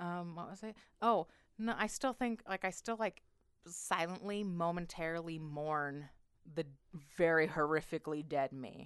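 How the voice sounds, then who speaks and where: A woman's unremarkable speaking voice, fairly low in pitch with ordinary variation, at a moderate pace with big swings in loudness, over a quiet background. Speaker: podcast co-host. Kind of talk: casual comedic banter.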